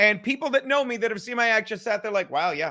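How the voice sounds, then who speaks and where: A raised, projected voice with a bright, sharp tone and ordinary pitch variation comes through on a very clean recording with a silent background. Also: man. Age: 50s. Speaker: comedian. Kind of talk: casual chat. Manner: fast; loud.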